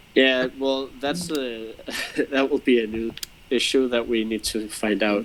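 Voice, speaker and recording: Noticeable background noise is present as a man talks at a fairly slow pace. His pitch is medium, with ordinary pitch variation. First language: not English. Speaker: game designer. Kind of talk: casual chat. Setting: online stream.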